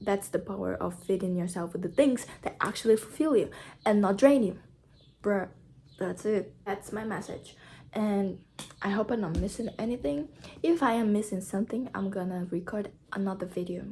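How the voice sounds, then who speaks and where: Speaking with a non-native accent, a woman uses a somewhat breathy, dark, mellow voice of medium pitch, with ordinary pitch variation at a moderate pace. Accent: noticeable non-native. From Brazil. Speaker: YouTuber. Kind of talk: casual vlog talk to camera.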